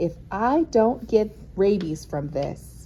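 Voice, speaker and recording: A put-on character voice that sounds female, rumbling and delivered at a very slow pace, with clear background noise behind it. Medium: read story. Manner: grumbling, curt.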